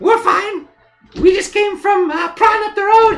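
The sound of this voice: A man does a put-on character voice that is squeaky, extremely high-pitched and fairly bright in tone, with vocal fry. He speaks at a fairly slow pace over faint music in the background. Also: ordinary pitch variation.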